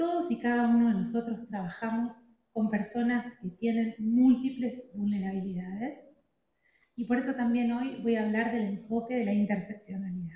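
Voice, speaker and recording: A woman's fairly high voice with a dark, mellow tone, an Argentine accent, ordinary pitch variation and a moderate pace. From Argentina. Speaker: addiction treatment specialist speaker. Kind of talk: conference talk.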